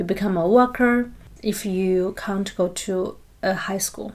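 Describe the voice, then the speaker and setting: A woman with a medium pitch, fairly even intonation and a fairly slow pace. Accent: Chinese. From China. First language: Mandarin Chinese. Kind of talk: interview.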